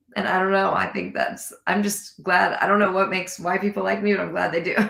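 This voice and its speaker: A woman with an American accent talks at a very fast pace amid noticeable background noise. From California. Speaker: country singer-songwriter. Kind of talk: casual interview chat. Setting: live online show.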